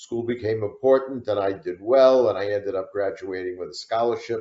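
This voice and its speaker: Speaking fairly quickly, a man has a New York accent. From New York City, the Bronx. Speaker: retired prosecutor and author. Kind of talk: interview.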